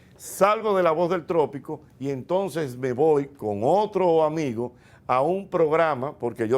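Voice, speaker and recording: The man's fairly high voice moves with ordinary pitch variation. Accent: Dominican. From Dominican Republic. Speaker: radio host and comedian. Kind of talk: interview answer recounting his career. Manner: relaxed, conversational, storytelling.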